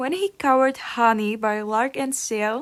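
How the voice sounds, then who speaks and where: She has a non-native accent. Her speech moves at a moderate rate. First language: not English. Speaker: YouTuber, K-pop fan. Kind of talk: casual opinion vlog.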